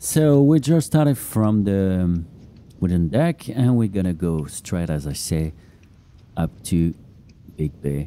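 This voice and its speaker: Very deep, dark and mellow, a man's voice swings very widely in pitch, broken by long, frequent pauses. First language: not English. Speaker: podcast host and runner. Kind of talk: casual running commentary. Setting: outdoors on beach, running. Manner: hesitant, many fillers.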